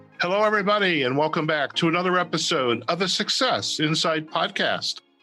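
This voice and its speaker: Music plays in the background as a man talks at a fairly quick pace in a high voice. His loudness stays very even, with ordinary pitch variation. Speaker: podcast host. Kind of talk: podcast interview questions.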